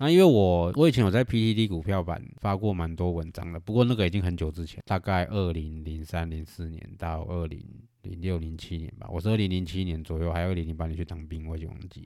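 A man with a Taiwanese accent, a very deep, low pitch and a dark, mellow tone, at a fairly quick pace with hardly any pauses, ordinary pitch variation and big swings in loudness, in a very clean recording with a silent background. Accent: Taiwanese Mandarin. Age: 40s. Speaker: podcast host and investor. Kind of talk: casual monologue.

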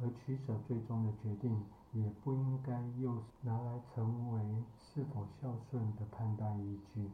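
Audible room echo surrounds a man whose dark, mellow, somewhat breathy voice moves very slowly at a medium pitch. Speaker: psychologist and podcast host. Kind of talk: solo podcast commentary.

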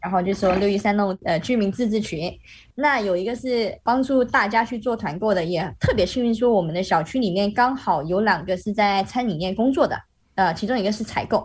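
Somewhat breathy, a woman speaks at a fairly quick pace in a medium voice with ordinary pitch variation. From Malaysia. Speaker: Malaysian expat living in Shanghai. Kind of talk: casual interview chat. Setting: video call.

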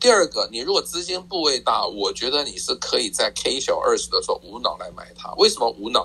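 A man at a fairly quick pace, with hardly any pauses and big swings in loudness. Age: 60s. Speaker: personal finance author. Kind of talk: interview.

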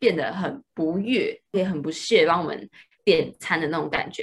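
This woman's voice is medium in pitch and somewhat breathy. She keeps to a moderate pace. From Taiwan. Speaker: student. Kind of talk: casual chat.

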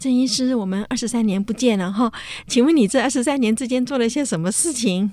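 A woman talks at a fairly quick pace in a dark, mellow tone. Her pitch is fairly high with ordinary pitch variation. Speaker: radio host; professor. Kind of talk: casual chat.

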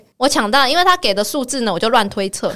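A woman talks at a high pitch, her pitch swinging very widely. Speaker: podcast host. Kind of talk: casual chat.

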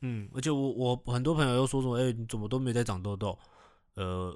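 A man is speaking with ordinary pitch variation. The recording is very clean with a silent background. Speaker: podcast co-host. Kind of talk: product endorsement; casual chat. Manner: low-key.

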